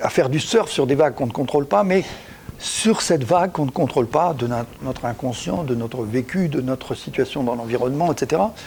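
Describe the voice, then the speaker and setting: There is noticeable background noise. A man speaks fairly quickly with lively intonation. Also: medium pitch for a man. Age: 70s. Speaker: executive coach and author. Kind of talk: talk on coaching practice. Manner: halting, with frequent repetitions.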